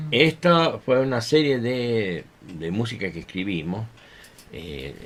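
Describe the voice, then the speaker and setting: A man speaks at a fairly low pitch. His pitch swings very widely. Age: 60s. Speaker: violinist and music teacher. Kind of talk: radio interview. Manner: hesitant, many fillers.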